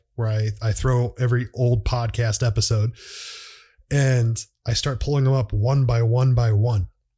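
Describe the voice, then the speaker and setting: Somewhat breathy and dark, mellow in tone, the voice moves at a fairly slow pace. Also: man. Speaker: podcast host. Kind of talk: casual monologue. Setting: solo podcast recording. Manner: halting, many fillers.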